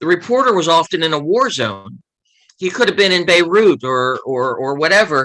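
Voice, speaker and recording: With an American accent, a man talks at a moderate pace in a high pitch, his tone bright and sharp and his intonation lively. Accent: Baltimore working-class American. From US, Baltimore (East Baltimore). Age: 60s. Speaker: author and former journalist. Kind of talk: interview.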